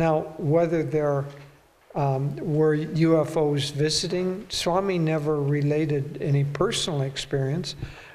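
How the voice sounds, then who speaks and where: There is noticeable background noise behind this man. He talks at a fairly slow pace with fairly even intonation. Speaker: spiritual teacher. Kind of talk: talk and Q&A answers.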